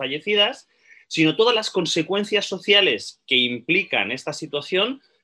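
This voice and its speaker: Bright, sharp tone from a man with vocal fry, over a quiet background. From Spain, Barcelona (Catalonia). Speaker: archaeologist and researcher. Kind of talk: interview. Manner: fast.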